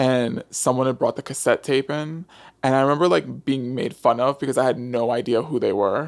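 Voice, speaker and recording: Recorded very cleanly over a silent background, a man with an American accent has an unremarkable speaking voice, medium pitch with ordinary variation, and a fairly quick pace. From New York City, the Bronx. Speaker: TV writer and producer. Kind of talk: casual interview.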